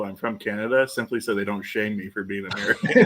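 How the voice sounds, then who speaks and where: A man talks with a Southern US accent and ordinary pitch variation. Noticeable background noise runs behind him. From US South, central southwest Virginia. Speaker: podcast co-host. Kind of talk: casual chat. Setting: live stream.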